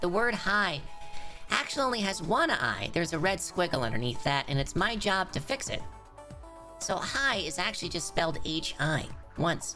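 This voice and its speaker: A man's high-pitched, put-on character voice in an upbeat tone, with clear music in the background. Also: moderate pace. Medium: role play. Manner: upbeat, chipper.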